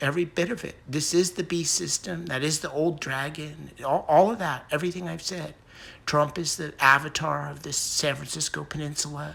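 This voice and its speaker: The man's voice sits fairly high, with a bright, sharp tone and vocal fry. He keeps a moderate pace and fairly even intonation. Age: 60s. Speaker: conspiracy video blogger. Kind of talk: casual monologue. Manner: halting, many fillers and restarts.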